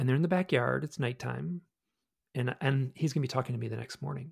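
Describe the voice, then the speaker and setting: In a dry, close sound with no echo, a man with an American accent talks at a very fast pace. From US Midwest, Michigan. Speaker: author and researcher of UFO experiences. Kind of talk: casual interview chat.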